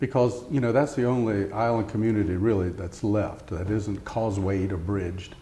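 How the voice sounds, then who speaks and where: A man's fairly low voice with an American accent, ordinary pitch variation, a moderate pace and hardly any pauses, over noticeable background noise and audible room echo. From Eastern Shore of Virginia. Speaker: oral history interviewee. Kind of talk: oral history interview. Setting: interview at a heritage center.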